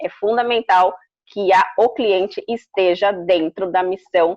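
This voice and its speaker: A woman talks at a fairly slow pace in a plain, everyday voice, keeping a medium pitch and fairly even intonation. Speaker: customer experience consultant and speaker. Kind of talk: interview.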